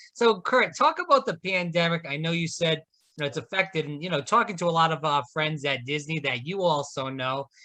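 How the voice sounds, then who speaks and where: A plain, everyday voice at a fairly quick pace, with ordinary pitch variation and a quiet background. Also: man, fairly high pitch for a man. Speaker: podcast host. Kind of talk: podcast interview hosting.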